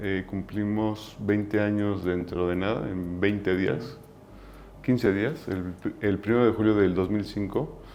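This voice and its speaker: A man talks fairly slowly at a fairly low pitch. His intonation is fairly even, with audible room echo. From Mexico. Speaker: business founder. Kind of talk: interview. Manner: halting.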